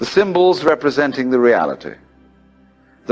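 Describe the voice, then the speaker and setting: A man with a British accent and a fairly high pitch, at a moderate pace with ordinary pitch variation, music in the background. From England, outside London. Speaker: philosopher and lecturer. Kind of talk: recorded philosophy lecture.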